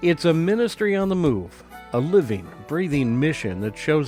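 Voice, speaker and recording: A man with a warm tone speaks at a fairly slow pace, his pitch swinging very widely. Music plays in the background. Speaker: chaplain, podcast host. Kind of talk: journal reading, reflective storytelling. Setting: podcast recording. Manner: warm, conversational, reflective.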